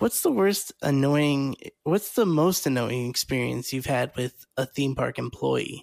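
A plain, everyday voice from a man, fairly high in pitch, at a fairly slow pace, with a dry, close sound and no echo. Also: ordinary pitch variation. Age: 30s. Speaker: podcast host. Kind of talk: casual chat.

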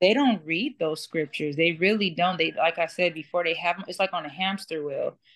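A woman with a fairly low pitch and ordinary pitch variation talks at a fairly quick pace with hardly any pauses. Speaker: former Jehovah's Witness. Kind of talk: testimony. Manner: halting.

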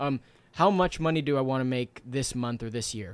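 The speaker has a normal speaking voice, with ordinary pitch variation at a fairly quick pace. The recording is very clean, with a silent background. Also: man. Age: 20s. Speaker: author and entrepreneur. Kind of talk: interview.

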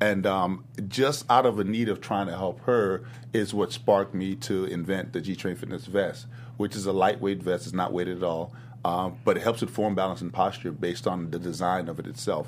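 A man with an American accent and a plain, everyday voice, fairly low in pitch at a moderate pace. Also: ordinary pitch variation. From US South. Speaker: fitness gym owner and trainer. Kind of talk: casual interview chat.

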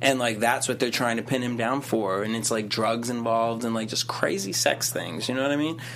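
A man speaks at a medium pitch and a fairly quick pace, with hardly any pauses. Noticeable background noise sits behind him. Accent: American. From Boston. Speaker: late night talk show host. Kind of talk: casual chat. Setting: studio. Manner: animated.

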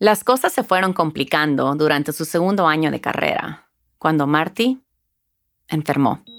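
Speaking fairly slowly, a woman with a very deep, low voice uses lively intonation and a soothing, warm tone. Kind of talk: children's storybook audiobook narration. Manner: warm, gentle storytelling pace with expressive, animated delivery; clear, measured, soothing bedtime-story tone.

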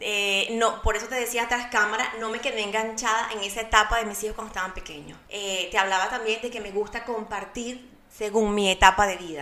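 Amid audible room echo and noticeable background noise, a woman with a fairly high pitch talks at a fairly quick pace with fairly even intonation and big swings in loudness. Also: hardly any pauses. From Venezuela, Barquisimeto. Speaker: mom blogger and entrepreneur. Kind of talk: casual interview chat.

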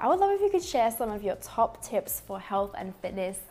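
Fairly quick speech in an Australian accent. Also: woman. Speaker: podcast host. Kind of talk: casual interview chat. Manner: upbeat, bubbly, laughing.

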